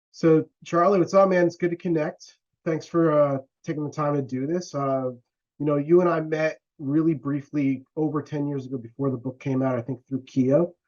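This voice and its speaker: A man talks in a normal speaking voice at a moderate pace. His pitch is fairly high and his intonation fairly even. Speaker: interviewer. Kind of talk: interview. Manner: casual.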